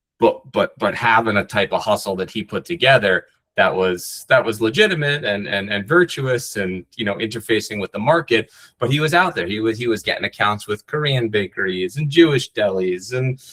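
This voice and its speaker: An American-accented man at a fairly quick pace, with hardly any pauses. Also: medium pitch for a man, lively intonation. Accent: faint Long Island accent, mostly escaped. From New York, North Shore of Long Island. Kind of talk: interview. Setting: podcast interview. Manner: many fillers and repeated words; animated.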